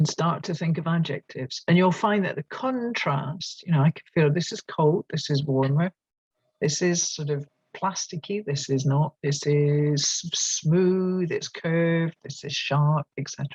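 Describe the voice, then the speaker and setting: Someone with a Scottish accent speaks at a fairly slow pace. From Scotland. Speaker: teacher trainer. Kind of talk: online workshop presentation. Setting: at a desk, online. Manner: animated.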